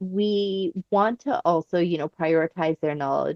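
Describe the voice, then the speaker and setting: Speaking at a moderate pace, a woman with a fairly low pitch and ordinary pitch variation has an unremarkable speaking voice. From Canada. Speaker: professor. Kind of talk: podcast interview.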